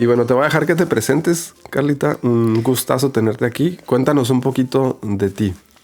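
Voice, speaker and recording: A man speaks at a moderate pace with hardly any pauses, very even loudness, a medium pitch and ordinary pitch variation. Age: 40s. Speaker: podcast host. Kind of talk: casual interview. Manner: hesitant, many fillers.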